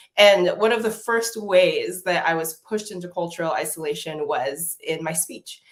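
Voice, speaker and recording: A woman's medium-pitched voice with an American accent, moderate in pace, with hardly any pauses and big swings in loudness. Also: ordinary pitch variation. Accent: American accent here, Nigerian with family. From Nigeria. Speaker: public health professor. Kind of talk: live online conversation.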